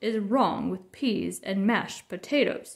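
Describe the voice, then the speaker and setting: A woman's gruff, put-on character voice at medium pitch and a fairly slow pace. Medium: read story. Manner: gruff, loud, blustery.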